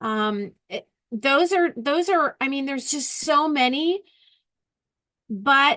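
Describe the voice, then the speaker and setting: With a raised, projected voice, a woman speaks high for a woman in a bright, sharp tone, at a fairly slow pace with lively intonation, over a dry, close sound with no echo. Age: 60s. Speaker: educator, panel speaker. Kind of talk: panel talk. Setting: video call.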